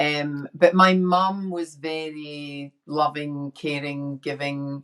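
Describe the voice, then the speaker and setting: Very slowly and with fairly even intonation, a woman speaks at a very deep, low pitch in a Scottish accent. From Scotland, inner city Glasgow. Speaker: women's empowerment coach. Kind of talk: casual chat.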